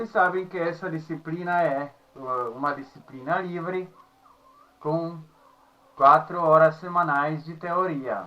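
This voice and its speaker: Speaking very slowly with long, frequent pauses, a man with a Czech accent holds a high pitch and fairly even intonation. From Czech Republic. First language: Czech (speaking Portuguese). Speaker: university professor. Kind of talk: lecture. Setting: recorded at home. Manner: halting, with filler sounds.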